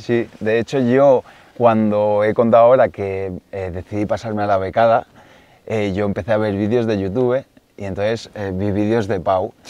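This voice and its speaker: A man speaks with fairly even intonation and a dark, mellow tone, the sound dry with no echo. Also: fairly low pitch for a man, moderate pace. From Catalonia, near Barcelona. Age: 30s. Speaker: woodcock hunter; guest. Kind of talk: casual interview chat. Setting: outdoors in the Pyrenees. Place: forest.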